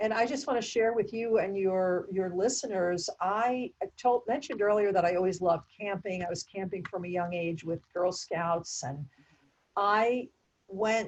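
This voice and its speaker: Speaking at a moderate pace, a woman with a plain, everyday voice keeps a medium pitch with ordinary pitch variation. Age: 60s. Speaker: nurse and meditation teacher. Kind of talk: interview conversation.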